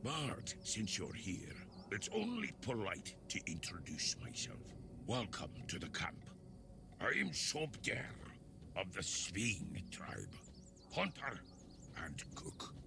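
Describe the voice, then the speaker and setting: A man whispers in a put-on character voice at a very slow pace. Long, frequent pauses break up his speech over loud background noise. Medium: video game. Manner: chatty, casual.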